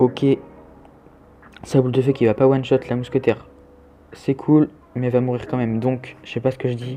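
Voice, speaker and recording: A man talks fairly quickly at a medium pitch while noticeable background noise continues. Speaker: gaming youtuber. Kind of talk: live gameplay commentary. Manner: casual, hesitant with fillers.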